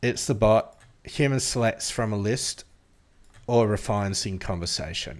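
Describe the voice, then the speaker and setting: Lively intonation from a man at medium pitch, at a fairly slow pace, in a very clean recording with a silent background. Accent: Australian. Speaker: AI app developer and tech YouTuber. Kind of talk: tutorial. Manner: casual, thinking aloud with fillers.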